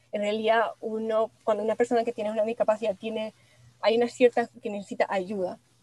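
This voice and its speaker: Her tone dark and mellow, a woman speaks at a fairly quick pace in a monotone, flat intonation, with a dry, close sound and no echo. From Venezuela, Maracay. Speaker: industrial designer. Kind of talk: interview. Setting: studio. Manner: halting.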